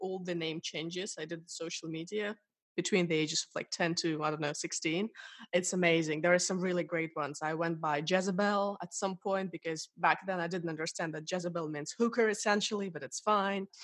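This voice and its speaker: A woman with a Russian accent speaks at a fairly quick pace, fairly low in pitch. Her intonation is fairly even, and the background is quiet. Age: 20s. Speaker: interviewee. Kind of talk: interview.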